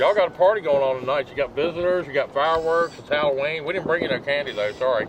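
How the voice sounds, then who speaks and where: With an Appalachian accent, a man speaks at a very fast pace with hardly any pauses, a fairly high pitch and ordinary pitch variation, over noticeable background noise. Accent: Southern US (Appalachian). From US South, hill country. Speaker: paranormal investigator. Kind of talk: casual chat during ghost hunt.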